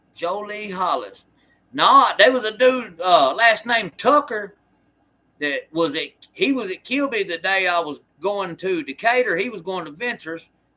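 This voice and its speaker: In an American accent, a man speaks fairly slowly at a high pitch with lively intonation. His raised, projected voice has a bright, sharp tone. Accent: Southern US accent, noticed by others. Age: 40s. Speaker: former prisoner and livestreamer. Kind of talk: casual livestream chat answering viewer comments. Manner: halting, many fillers and restarts.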